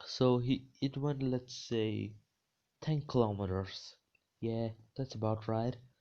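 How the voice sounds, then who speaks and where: A man with a non-native accent speaks at a very slow pace and medium pitch, with long, frequent pauses. His intonation is fairly even, and the background is quiet. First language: not English. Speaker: fan fiction storyteller. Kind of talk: improvised storytelling. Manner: halting, many fillers and restarts.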